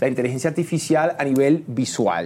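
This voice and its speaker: A man's fairly high voice with a dark, mellow tone at a moderate pace. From Puerto Rico, Trujillo Alto. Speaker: singer and actor. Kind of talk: casual chat. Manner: animated.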